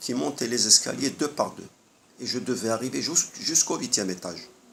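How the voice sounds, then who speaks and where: A man's voice at medium pitch. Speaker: health vlogger. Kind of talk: monologue. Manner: hesitant.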